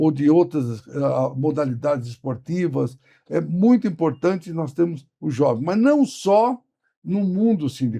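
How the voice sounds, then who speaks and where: Somewhat breathy and dark, mellow in tone, a man speaks at a fairly slow pace with a fairly high pitch and very wide pitch swings. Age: 70s. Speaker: trade union leader. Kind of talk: interview.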